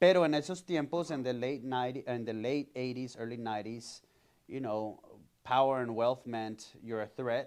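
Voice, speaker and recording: Over a quiet background, a man of medium pitch speaks with a Spanish accent at a moderate pace, his intonation fairly even. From Colombia, raised in Miami and Houston. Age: 30s. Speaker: community organization founder. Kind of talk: podcast interview.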